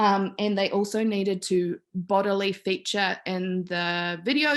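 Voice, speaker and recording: With a New Zealand accent, a woman speaks in fairly even intonation. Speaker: PhD student giving a talk. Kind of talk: academic talk. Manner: hesitant, many fillers.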